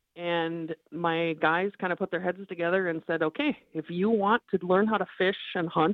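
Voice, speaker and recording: The speaker talks at a moderate pace in a Minnesota accent. There are hardly any pauses. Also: woman. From Minneapolis, Minnesota. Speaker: mother and angler. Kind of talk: casual interview.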